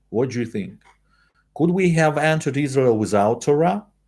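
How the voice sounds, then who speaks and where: In a Russian accent, a man with a dark, mellow tone speaks at a medium pitch that moves through very wide swings. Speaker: Torah teacher. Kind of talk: lecture. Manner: halting.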